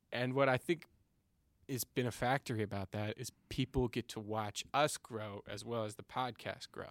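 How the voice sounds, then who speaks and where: A man with an American accent has an unremarkable speaking voice, pitched medium and moving at a moderate pace with fairly even intonation. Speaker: podcast co-host. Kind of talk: casual chat. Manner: joking, playful.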